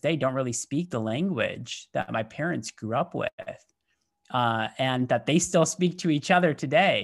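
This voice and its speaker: On a very clean recording with a silent background, a man with an American accent uses a plain, everyday voice at medium pitch, moderate pace and ordinary pitch variation. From US Midwest, Michigan. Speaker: business executive. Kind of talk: interview.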